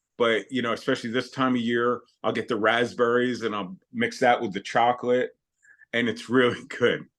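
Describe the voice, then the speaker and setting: A man talks in a normal speaking voice, medium in pitch, fairly even in intonation and moderate in pace. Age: 60s. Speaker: retired chef and weight loss client. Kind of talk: interview conversation. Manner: casual, conversational.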